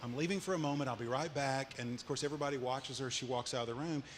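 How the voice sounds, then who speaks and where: A medium-pitched man with an Arkansas accent and ordinary pitch variation. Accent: Southern US (Arkansas). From Arkansas, Little Rock and Cleburne County. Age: 60s. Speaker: entrepreneur. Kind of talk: onstage interview. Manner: halting.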